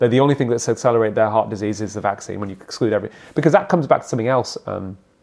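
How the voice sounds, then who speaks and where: Talking at a very fast pace, a man has a medium pitch and ordinary pitch variation. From England. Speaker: cardiologist. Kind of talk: interview.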